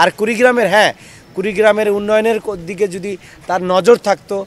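A man's high-pitched voice, with a dry sound and no echo. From Bangladesh. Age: 40s. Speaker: politician and lawyer; election candidate. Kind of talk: press statement to reporters. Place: street.

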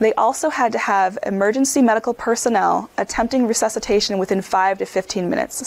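A woman speaks in an American accent at a fairly quick pace. Her pitch is fairly high with ordinary variation, and there is noticeable background noise. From Upper Peninsula of Michigan. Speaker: physician lecturer. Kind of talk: lecture.

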